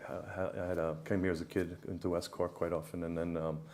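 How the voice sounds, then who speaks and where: A man with an American accent speaks at a fairly quick pace. Audible room echo is present. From New York, the Bronx. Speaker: business consultant. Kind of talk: interview. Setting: stage with audience. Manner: halting, many fillers.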